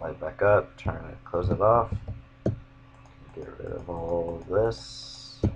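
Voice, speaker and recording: Big swings in loudness mark a man's very slow speech, broken by long, frequent pauses. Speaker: gaming YouTuber. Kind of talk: gameplay commentary. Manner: monotone; casual.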